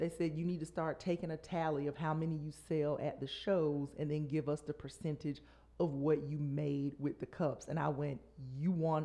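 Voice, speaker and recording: Speaking in an American accent at a moderate pace, this voice has a dark, mellow tone and monotone, flat intonation. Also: woman, very deep, low pitch for a woman. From US South, Columbus, Georgia. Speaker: stand-up comedian. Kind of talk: casual chat.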